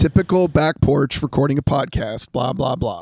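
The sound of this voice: Using a hoarse, put-on character voice, a man talks at a moderate pace and fairly high pitch with ordinary pitch variation.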